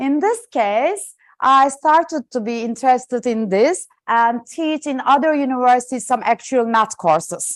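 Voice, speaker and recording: A woman speaks with a Turkish accent at a high pitch and moderate pace. Her intonation is lively and the background quiet. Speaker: professor. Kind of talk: lecture. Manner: loud.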